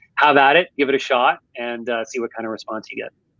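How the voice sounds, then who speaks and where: A man with a Canadian accent speaks quickly at a medium pitch, his intonation fairly even. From Canada, Ontario. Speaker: marketing executive. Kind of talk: podcast interview.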